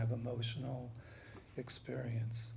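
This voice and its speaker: In an American accent, a man with a medium pitch speaks at a fairly slow pace amid audible room echo. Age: 60s. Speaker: panelist, psychologist. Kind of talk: panel talk. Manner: halting.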